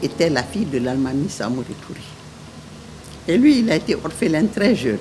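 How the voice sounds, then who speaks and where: A woman talks in a very deep, low pitch at a moderate pace, her pitch swinging very widely. Noticeable background noise runs underneath. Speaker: widow of a head of state. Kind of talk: interview testimony.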